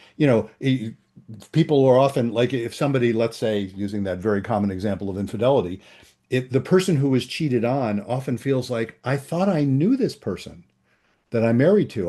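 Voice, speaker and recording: A man's dark, mellow tone, with very wide pitch swings. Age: 70s. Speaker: psychologist and couples therapist. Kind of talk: interview. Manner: halting, many fillers.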